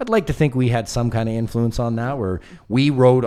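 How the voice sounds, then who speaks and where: In a Canadian accent, a man uses an ordinary speaking voice at a medium pitch and a fairly quick pace, on a very clean recording with a silent background. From Canada West Coast. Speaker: documentary filmmaker. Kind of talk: casual comedy podcast chat. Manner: casual, profane.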